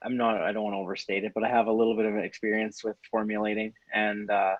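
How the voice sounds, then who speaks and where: A man's ordinary speaking voice with a Canadian accent, medium pitch, and a fairly quick pace. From Canada. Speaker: supplement store interviewer. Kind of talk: interview.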